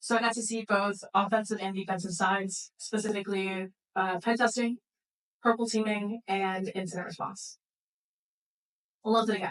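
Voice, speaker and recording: Long, frequent pauses break up a woman's monotone, flat delivery in an American accent. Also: medium pitch for a woman. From Florida. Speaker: security engineer. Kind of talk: conference talk. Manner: fast.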